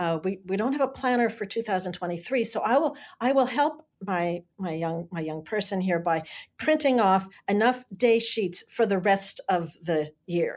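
This woman has an unremarkable speaking voice at a medium pitch and a moderate pace. Her intonation is lively, and the recording is very clean with a silent background. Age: 60s. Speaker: learning coach and educator. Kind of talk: interview, explanatory conversation.

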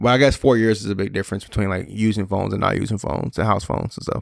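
Very fast and fairly low, a man's voice carries vocal fry and ordinary pitch variation. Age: 30s. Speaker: podcast co-host, business owner. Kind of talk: casual chat.

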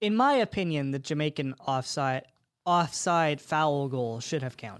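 An ordinary speaking voice: a man at a fairly high pitch, fairly slow pace and ordinary pitch variation, in a very clean recording with a silent background. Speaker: soccer podcast co-host, university student. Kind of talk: casual chat.

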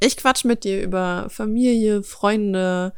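A woman's unremarkable speaking voice at medium pitch, fairly slow pace, very clean recording with a silent background. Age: 20s. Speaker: podcast host. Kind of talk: casual monologue. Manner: relaxed.

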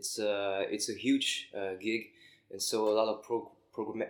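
This man talks with a French accent. His pitch is fairly low, and his pace is fairly slow. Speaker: rock musician. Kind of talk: interview. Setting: backstage room at a concert venue. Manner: halting.

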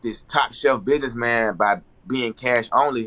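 A man's medium-pitched voice, bright and sharp in tone, at a fairly slow pace. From Atlanta, US South. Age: 30s. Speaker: fashion designer. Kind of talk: casual chat.

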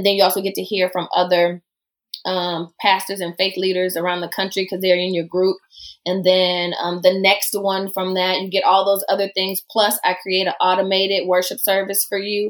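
The speaker has a Southern US accent. The intonation stays monotone and flat. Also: woman, medium pitch for a woman, moderate pace. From US South. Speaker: preacher and church researcher. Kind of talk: casual interview.

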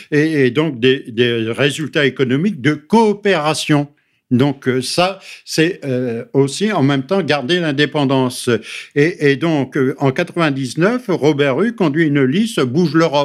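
The speech moves at a very slow pace with ordinary pitch variation and very even loudness. The recording is very clean, with a silent background. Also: man, fairly high pitch for a man. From northern France, Pas-de-Calais mining area. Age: 70s. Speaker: member of parliament. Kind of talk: radio interview.

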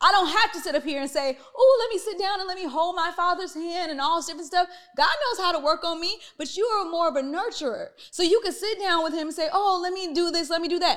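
A woman talks at a very fast pace in an animated tone. Her pitch is extremely high. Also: ordinary pitch variation. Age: 30s. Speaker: podcast host and entrepreneur. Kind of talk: family therapy conversation.

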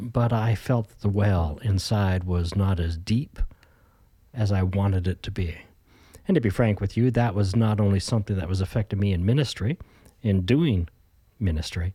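A somewhat breathy man's voice, fairly low in pitch with a dark, mellow tone, at a moderate pace with ordinary pitch variation and long, frequent pauses, in a very clean recording with a silent background. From Canada, Ontario. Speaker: pastor. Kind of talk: interview conversation.

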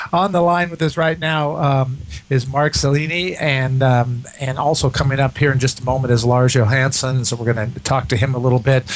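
Using a plain, everyday voice, a man talks at a fairly quick pace at a medium pitch with ordinary pitch variation. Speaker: radio host. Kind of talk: radio dj patter. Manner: chatty, upbeat host banter that rambles with fillers.

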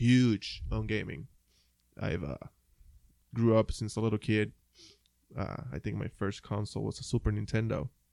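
This man talks at a moderate pace with a Puerto Rican accent. The sound is dry and close, with no echo. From Puerto Rico. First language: Spanish. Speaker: podcast co-host. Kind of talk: casual chat.

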